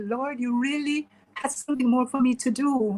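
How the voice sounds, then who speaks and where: Using fairly even intonation, a woman speaks at a high pitch and moderate pace. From Jamaica, Kingston. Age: 60s. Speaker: author and retired teacher. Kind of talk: interview testimony.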